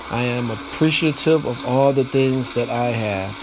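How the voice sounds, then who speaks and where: Noticeable background noise sits behind the speech. The tone is gentle, and the pace is moderate. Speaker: meditation podcaster. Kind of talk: guided prayer meditation, spoken affirmations. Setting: solo recording, podcast. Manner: gentle, repetitive, devotional, reassuring.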